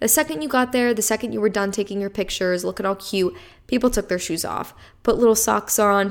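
This voice moves at a fairly quick pace with an animated tone, captured in a very clean recording over a silent background. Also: woman. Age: 20s. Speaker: solo podcast host. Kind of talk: casual solo chat, story time.

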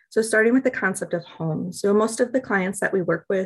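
Against a quiet background, a woman with an American accent talks at a fairly quick pace. She has a normal speaking voice with ordinary pitch variation. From US Midwest, Milwaukee, Wisconsin. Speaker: nonprofit program manager. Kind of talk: interview.

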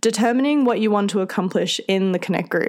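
A woman speaks with an Australian accent at a fairly quick pace. Her voice sits at a medium pitch with ordinary variation. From central Australia. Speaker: podcast host and youth group leader. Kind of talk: solo podcast talk. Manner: friendly, conversational.

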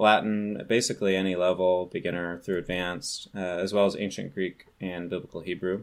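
A man with a West Coast US accent is heard on a very clean recording with a silent background. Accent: General American (West Coast). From California. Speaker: ancient language teacher. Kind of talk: casual chat.

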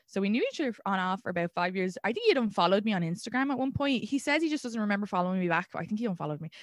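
Speaking with an Irish accent at a very fast pace, a woman of medium pitch keeps her intonation lively and leaves hardly any pauses. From Ireland. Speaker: stand-up comedian. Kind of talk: casual chat.

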